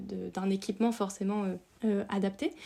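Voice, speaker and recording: Her tone dark and mellow, a woman speaks at a fairly slow pace in a medium pitch with ordinary pitch variation. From France, Dordogne. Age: 30s. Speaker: outdoor content creator. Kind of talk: podcast interview. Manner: hesitant, many fillers.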